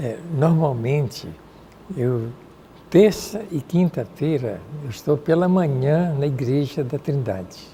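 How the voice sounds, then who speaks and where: A man's fairly high voice, very slow, with long, frequent pauses and lively intonation. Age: 80s+. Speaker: retired priest and parapsychologist. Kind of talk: TV interview.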